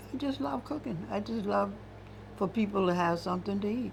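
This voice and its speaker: Amid audible room echo, a woman with an American accent speaks at a medium pitch and moderate pace, with vocal fry and very wide pitch swings. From US South, Johns Island, South Carolina. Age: 80s+. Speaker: retired cook. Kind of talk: oral history interview.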